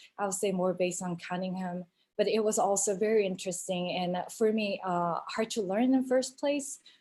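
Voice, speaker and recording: On a very clean recording with a silent background, a woman of medium pitch speaks fairly quickly in a dark, mellow tone with ordinary pitch variation. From South Korea. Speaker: choreographer, dance teacher. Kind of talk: panel Q&A. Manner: halting, many fillers.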